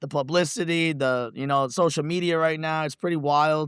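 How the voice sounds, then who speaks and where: A man with a New York accent speaks with fairly even intonation. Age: 30s. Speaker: reality TV contestant, law enforcement instructor. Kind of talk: casual interview.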